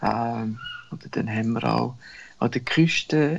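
A man is speaking. His pace is very slow. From Central Switzerland. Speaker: travel business owner and cyclist. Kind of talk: interview storytelling. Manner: halting, with many fillers.

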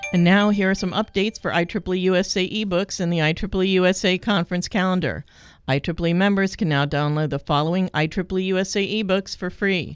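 A woman speaks in a normal speaking voice at a moderate pace with fairly even intonation, recorded very cleanly against a silent background. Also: medium pitch for a woman. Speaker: announcer reading updates. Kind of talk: scripted announcements.

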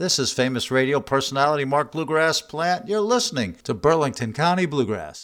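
A man's fairly high-pitched, an ordinary speaking voice, with lively intonation. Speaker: radio host. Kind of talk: radio DJ patter introducing bluegrass songs. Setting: radio studio. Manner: upbeat, polished radio announcer; jokey, self-promoting.

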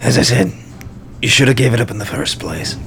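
A man puts on a gruff character voice at medium pitch, speaking fairly quickly. Clear background noise runs underneath. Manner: threatening.

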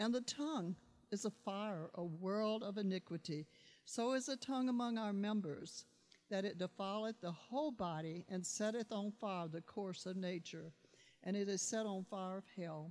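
A woman talks in a normal speaking voice, her medium pitch showing ordinary variation as she keeps a moderate pace. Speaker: church member reading scripture. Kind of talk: reading aloud.

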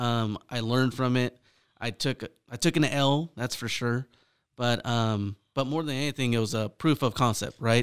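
This very clean recording has a silent background. A man with an American accent speaks at a moderate pace. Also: medium pitch for a man, fairly even intonation. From California, Central Valley (Fresno). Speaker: real estate investor. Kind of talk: casual interview. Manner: halting, many fillers.

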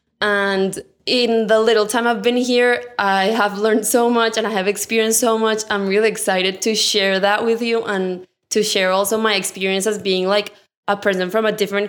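The speaker has a Colombian accent and a moderate pace. Loudness stays very even throughout. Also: woman. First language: Spanish. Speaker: architecture intern, podcast co-host. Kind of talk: casual podcast introduction. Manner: enthusiastic.

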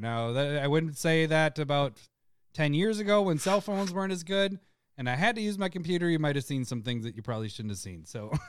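A man speaks with a plain, everyday voice at a fairly high pitch. His intonation is lively, on a very clean recording with a silent background. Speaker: podcast host. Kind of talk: casual chat. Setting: live stream.

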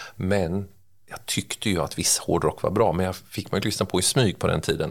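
A man delivers his words at a fairly quick pace in a very deep, low pitch, keeping his intonation fairly even. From Sweden, Örebro (Närke). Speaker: songwriter and music producer. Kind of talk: casual interview chat.

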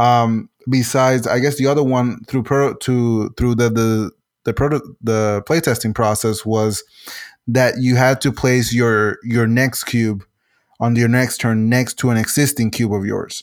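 A man with a Spanish accent speaks in a medium pitch with monotone, flat intonation and very even loudness. The recording is very clean, with a silent background. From Puerto Rico. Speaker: game designer and civil engineer. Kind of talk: interview. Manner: halting, many fillers and repetitions.

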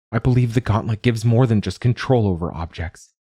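A man with a dark, mellow tone and somewhat breathy delivery speaks at a fairly low pitch with ordinary pitch variation, in a dry, close sound with no echo and a very clean recording with a silent background. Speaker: podcast host and narrator. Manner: measured, soft and introspective, with a hushed, wistful tone in the reflective passages; clear and formal in the preface, steady pace.

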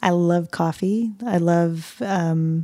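In an American accent, a woman speaks with fairly low pitch, a dark, mellow tone and fairly even intonation. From US South, Pensacola, Florida. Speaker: runner and yoga instructor. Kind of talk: casual chat.

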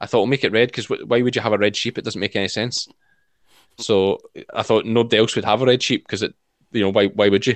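Speaking at a very fast pace but with long, frequent pauses, a man with a Scottish accent keeps a medium pitch in monotone, flat intonation. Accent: Scottish (Ayrshire). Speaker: sheep shearer, farmer and video creator. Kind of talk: casual interview chat.

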